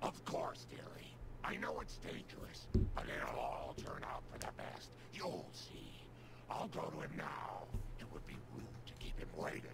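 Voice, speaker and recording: Whispering in a put-on character voice, a man speaks at a moderate pace over loud background noise. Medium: video game. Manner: sweet, motherly.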